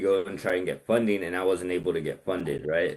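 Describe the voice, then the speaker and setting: An unremarkable speaking voice from a man, fairly low in pitch and at a fairly quick pace, over a quiet background. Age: 30s. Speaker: business credit consultant. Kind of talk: casual chat.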